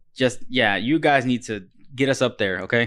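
Against a quiet background, a man with an American accent speaks at medium pitch in an animated tone. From Texas, Corpus Christi. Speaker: podcast host, movie reviewer. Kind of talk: casual chat.

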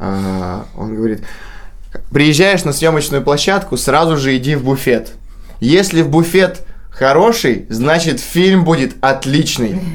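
The speech is very slow, with lively intonation. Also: man, fairly high pitch for a man. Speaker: actor. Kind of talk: casual chat. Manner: joking, informal.

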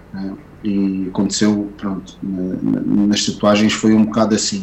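A man's fairly low voice at a very slow pace in monotone, flat intonation, with audible room echo and music in the background. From Portugal (left Angola at age 7). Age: 30s. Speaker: tattoo artist. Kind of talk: casual interview. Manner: halting, many fillers and repetitions.

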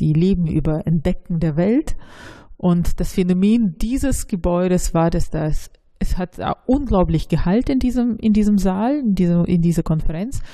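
Speaking in a Russian accent, this somewhat breathy voice has a dark, mellow tone, lively intonation and very even loudness. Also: woman, medium pitch for a woman, moderate pace. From Russia, St. Petersburg. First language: Russian (speaking German). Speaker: local politician. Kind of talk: interview. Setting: office.

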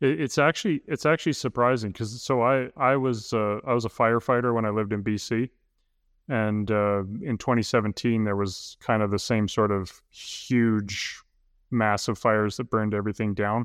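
Over a quiet background, a man speaks at a moderate pace and medium pitch with ordinary pitch variation, in a dry, close sound with no echo. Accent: western Canadian. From northern Alberta, Canada. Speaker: maker and content creator. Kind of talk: casual chat.

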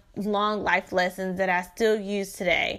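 A woman with a Southern US accent, medium pitch, a bright, sharp tone and a moderate pace, in a very clean recording with a silent background. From Shreveport, Louisiana. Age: 20s. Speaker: podcast host, credit consultant. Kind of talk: personal storytelling monologue. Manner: casual, chatty.

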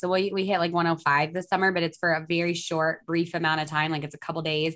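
Here a woman speaks at a fairly quick pace with a fairly low pitch. Hers is an unremarkable speaking voice. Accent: American. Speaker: dairy farmer and environmental consultant. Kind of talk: casual interview. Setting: video call.

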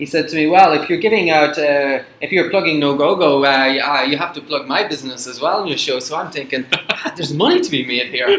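With hardly any pauses, a man talks at a fairly quick pace and a fairly high pitch. His pitch variation is ordinary, and background noise is noticeable. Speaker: school radio host. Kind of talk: casual chat. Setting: studio. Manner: joking, teasing.

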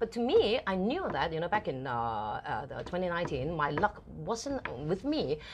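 Speaking with a Cantonese accent, a woman uses a fairly low pitch and very wide pitch swings. Her pace is moderate. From Hong Kong. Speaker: TV host and entrepreneur. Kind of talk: interview. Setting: live studio broadcast.

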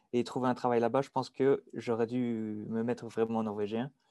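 A man with a Belgian accent speaks at a fairly slow pace in a dark, mellow tone. The recording is very clean, with a silent background. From Belgium, Dinant area (Wallonia). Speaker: engineering student. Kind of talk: casual interview.

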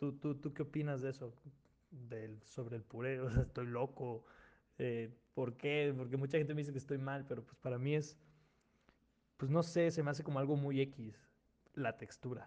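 A man with a dark, mellow tone and a medium pitch speaks at a moderate pace, his intonation fairly even and his speech broken by long, frequent pauses. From Mexico, outside Mexico City. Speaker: podcast host. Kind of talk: casual chat.

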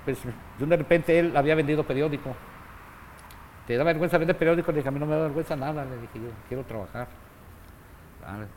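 A man with fairly high pitch talks at a very fast pace. He takes long, frequent pauses, and his pitch variation is ordinary. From Mexico, Jalisco (Guadalajara), raised in Mexicali. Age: 70s. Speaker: boxing trainer. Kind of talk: casual interview. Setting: boxing gym.

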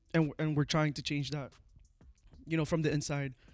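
A man's fairly high voice, fairly quick and flat in a monotone, with music in the background. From immigrant to Canada. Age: 20s. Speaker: barber. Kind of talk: casual chat.

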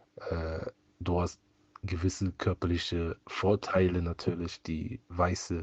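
A man speaks very slowly in a very deep, low, somewhat breathy voice with monotone, flat intonation. The sound is dry and close with no echo, over a quiet background. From Cologne, Germany. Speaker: listener submission. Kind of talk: testimony.

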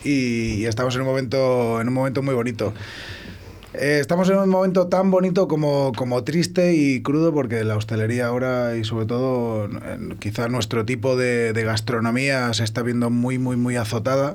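Amid noticeable background noise and audible room echo, a man is speaking. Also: medium pitch for a man, ordinary pitch variation, moderate pace. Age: 30s. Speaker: restaurant chef. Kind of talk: casual chat.

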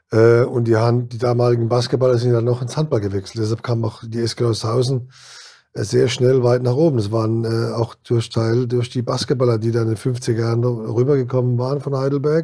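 At a fairly quick pace, a man talks at a medium pitch in a monotone, flat intonation, his voice somewhat breathy with a dark, mellow tone. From Kurpfalz region, Germany. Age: 60s. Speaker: former handball player and band manager. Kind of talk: interview. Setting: studio.

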